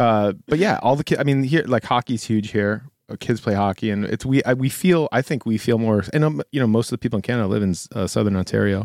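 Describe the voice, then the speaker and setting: A man speaks at a very fast pace with a Buffalo accent, at a medium pitch and with hardly any pauses, in a dry, close sound with no echo. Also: ordinary pitch variation, very clean recording, silent background. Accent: Western New York (Buffalo) American. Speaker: schoolteacher and guest co-host. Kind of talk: casual chat.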